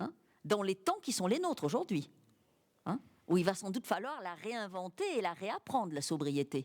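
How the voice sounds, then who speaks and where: With long, frequent pauses, a woman speaks at a moderate pace while her pitch swings very widely. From France, Cantal (rural Auvergne). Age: 60s. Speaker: writer and teacher. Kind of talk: public interview. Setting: university library with audience.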